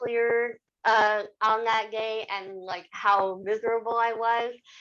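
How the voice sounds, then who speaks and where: Fairly high in pitch, this woman's voice has a bright, sharp tone. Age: 30s. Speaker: equity, diversity and inclusion worker. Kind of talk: podcast interview answer.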